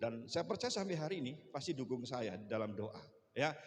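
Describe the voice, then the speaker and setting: At a fairly quick pace, a man speaks at medium pitch with ordinary pitch variation, amid noticeable background noise and audible room echo. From Bali, partly raised in Surabaya. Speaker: pastor. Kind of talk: sermon.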